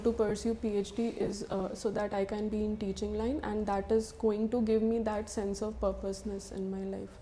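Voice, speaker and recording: There is noticeable background noise behind a woman's fairly high voice. She speaks at a moderate pace with monotone, flat intonation. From Bihar, India. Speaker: civil service candidate. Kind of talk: mock job interview. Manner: halting.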